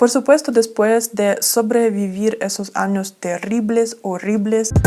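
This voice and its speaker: A woman's dark, mellow voice unfolds at a very slow pace. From Ukraine. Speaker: travel vlogger. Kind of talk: storytime talk to camera.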